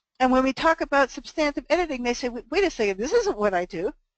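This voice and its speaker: A woman speaks with lively intonation in a dry, close recording that has no echo. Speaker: ghostwriting teacher. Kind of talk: webinar presentation. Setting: conference call. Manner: fast.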